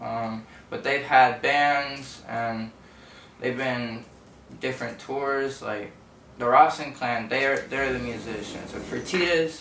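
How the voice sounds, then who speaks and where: The speaker has an American accent and a very slow pace with fairly even intonation. Noticeable background noise and audible room echo fill the recording. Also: man, medium pitch for a man. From southeast Texas (Orange / Port Arthur). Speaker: rapper. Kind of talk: interview.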